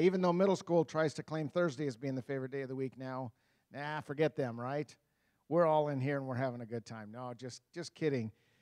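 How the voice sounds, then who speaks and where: With ordinary pitch variation, a man speaks fairly quickly while the background remains quiet. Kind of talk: chapel address to children, then prayer. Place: church. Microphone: handheld.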